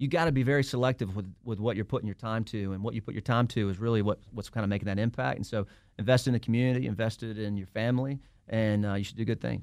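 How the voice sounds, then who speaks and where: Speaking at a very fast pace with a Southern US accent, the man has a medium pitch. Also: ordinary pitch variation. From Alabama, US South. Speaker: lawyer and entrepreneur. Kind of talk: casual interview.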